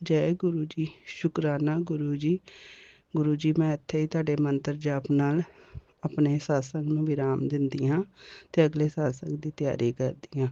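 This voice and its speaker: In a Punjabi accent, a woman speaks at a very deep, low pitch with monotone, flat intonation and a dry, close sound with no echo. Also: quiet background. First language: Punjabi (speaking Hindi). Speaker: devotee sharing a testimony. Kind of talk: devotional testimony.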